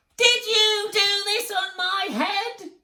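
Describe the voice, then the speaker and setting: A squeaky, put-on character voice sits at an extremely high pitch. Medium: read story.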